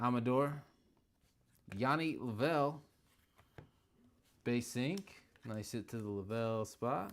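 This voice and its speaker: Delivered at a very slow pace with long, frequent pauses, the voice shows ordinary pitch variation. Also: man, medium pitch for a man. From Indiana. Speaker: card break host. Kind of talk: live stream commentary. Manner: casual, chatty.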